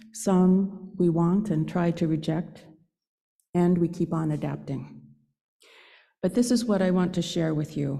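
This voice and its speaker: With a fairly low pitch and a dark, mellow tone, a woman speaks with vocal fry and ordinary pitch variation. She moves at a fairly slow pace with long, frequent pauses. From Northern California, Santa Rosa. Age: 70s. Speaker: lay speaker at a church service. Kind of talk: personal reflection talk in a worship service.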